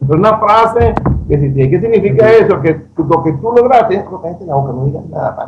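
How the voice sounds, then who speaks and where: A man with a Venezuelan accent speaks fairly quickly in a high, animated voice with lively intonation. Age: 60s. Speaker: economic commentator on radio panel. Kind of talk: panel discussion. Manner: animated, stammering repetitions.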